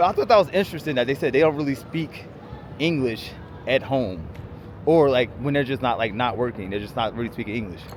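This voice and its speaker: Noticeable background noise sits behind a man with a strong New York accent. He speaks very fast with lively intonation. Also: medium pitch for a man. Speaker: travel vlogger. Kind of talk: casual travel vlog chat, livestream.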